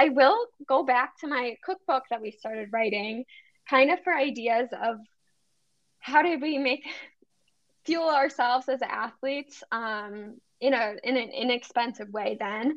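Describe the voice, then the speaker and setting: Speaking in an Upper Midwest accent, a woman with a high voice and ordinary pitch variation goes at a fairly slow pace with long, frequent pauses. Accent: Upper Midwest American. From Wisconsin, near Milwaukee. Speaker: medical student and dietitian. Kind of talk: casual interview.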